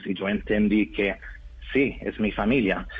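Over music in the background, a man with a slight non-native accent speaks at a fairly slow pace with ordinary pitch variation. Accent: foreign accent in Spanish, slight. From Norway. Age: 30s. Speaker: adoptee reunited with family. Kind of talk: interview. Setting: phone call. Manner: halting.

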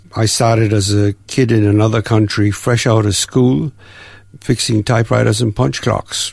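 Somewhat breathy, a man speaks at a fairly low pitch and moderate pace, with ordinary pitch variation. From Jamaica. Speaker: volunteer, retired IT worker. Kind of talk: interview testimony. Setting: studio.

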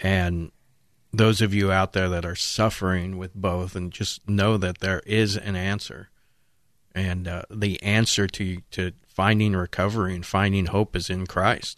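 The intonation here is monotone and flat. It comes from a man whose pitch is very deep and low. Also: fairly slow pace. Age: 50s. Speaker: recovery mission staff and fill-in radio host. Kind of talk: casual radio talk. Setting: radio studio.

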